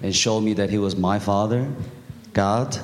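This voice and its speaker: Over noticeable background noise and audible room echo, a man speaks at a fairly low pitch in a monotone, flat delivery. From Korea. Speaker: church member giving testimony. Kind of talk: testimony.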